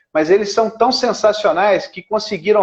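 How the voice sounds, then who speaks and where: Pitch variation is ordinary as a man talks. He keeps a moderate pace. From Brazil, Belo Horizonte (Minas Gerais). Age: 50s. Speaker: lawyer and radio broadcaster, local political candidate. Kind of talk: interview. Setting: Instagram live video call.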